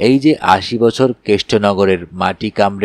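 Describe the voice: The reading aloud is plain, and its pitch shifts in an ordinary way.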